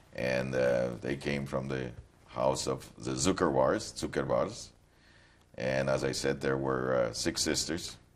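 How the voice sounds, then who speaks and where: Over noticeable background noise, a man with a very deep, low voice speaks at a fairly slow pace with fairly even intonation. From Poland, Krakow. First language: Polish. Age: 60s. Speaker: Holocaust survivor. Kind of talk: testimony. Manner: halting.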